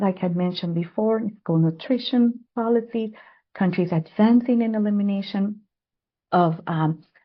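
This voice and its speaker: The pace of this voice is moderate. It sounds somewhat breathy, and its pitch varies in an ordinary way. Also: woman. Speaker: public health adviser. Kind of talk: webinar presentation. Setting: online webinar.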